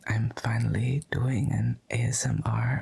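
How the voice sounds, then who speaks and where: Whispering and soft-spoken, a man talks quietly. Noticeable background noise runs underneath. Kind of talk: ASMR, soft-spoken talking to camera. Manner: soft-spoken, whispering.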